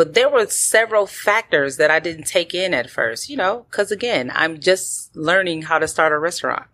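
A woman with an American accent, fairly low in pitch, with very wide pitch swings, a moderate pace and hardly any pauses. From Milwaukee, Wisconsin. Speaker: restaurant owner. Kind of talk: interview. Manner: laughs often.

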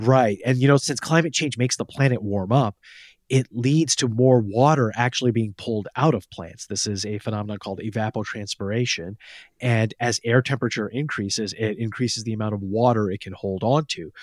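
Dry and close with no echo, a man's unremarkable speaking voice sits at medium pitch with ordinary pitch variation and a fairly quick pace. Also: very clean recording, silent background. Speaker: science journalist. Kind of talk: casual chat.

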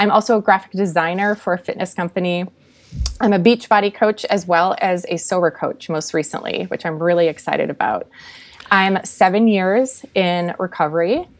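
In an American accent, a woman with a plain, everyday voice speaks at medium pitch and a moderate pace, with ordinary pitch variation. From Minnesota. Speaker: sober coach. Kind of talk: testimony.

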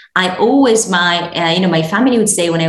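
A woman with a fairly low-pitched voice is heard, noticeable background noise behind her. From Morocco. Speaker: podcast guest, beauty entrepreneur. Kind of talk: conversational, business talk.

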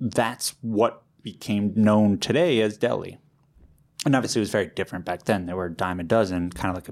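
A man with an American accent uses an ordinary speaking voice at a moderate pace with ordinary pitch variation in a very clean recording with a silent background. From New York City. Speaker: deli owner. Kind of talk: casual interview chat.

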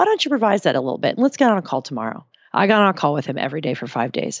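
A woman rattles along at a very fast pace with vocal fry and very wide pitch swings. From New Jersey. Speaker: writer and brand consultant, stand-up comic. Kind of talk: casual interview.

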